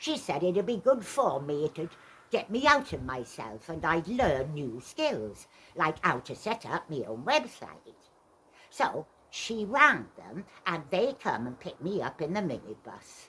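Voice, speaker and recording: Using a put-on character voice, a woman speaks at a fairly slow pace in a fairly low pitch with very wide pitch swings. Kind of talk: stage monologue. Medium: stage play. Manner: wry, dry, conversational.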